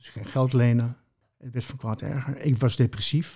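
A man with a Spanish accent speaks at a moderate pace and medium pitch, his tone dark, mellow and somewhat breathy. The background is quiet. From Mexico and Colombia, later Netherlands. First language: Spanish (speaking Dutch). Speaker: former prisoner, musician; interview guest. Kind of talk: personal testimony interview. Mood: calm, reflective storytelling. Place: home room. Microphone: studio mic.

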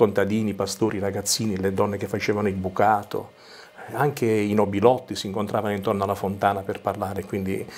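At a fairly quick pace, a man speaks with monotone, flat intonation. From Basilicata, Vulture area (Arbëreshë village); Basilicata. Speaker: writer and journalist. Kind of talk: interview. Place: studio. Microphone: lapel.

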